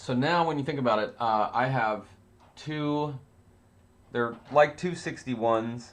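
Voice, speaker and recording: This man talks at a fairly slow pace with long, frequent pauses. His pitch is medium, with ordinary variation. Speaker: synthesizer teacher. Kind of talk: livestream lesson. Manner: loud; animated.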